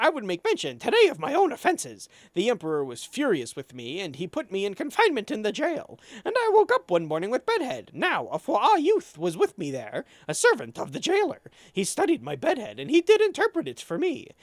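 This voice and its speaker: Delivered at a fairly quick pace, a put-on character voice sits fairly high in pitch on a very clean recording with a silent background. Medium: game stream.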